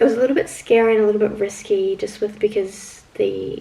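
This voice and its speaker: Moderate-paced speech from a woman, with noticeable background noise behind it. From New Zealand. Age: 20s. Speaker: vlogger. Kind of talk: casual vlog chat. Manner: chatty, casual.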